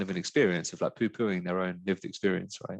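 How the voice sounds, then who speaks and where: Against a quiet background, a man with a very deep, low pitch talks at a fairly quick pace and with fairly even intonation. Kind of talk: webinar panel discussion.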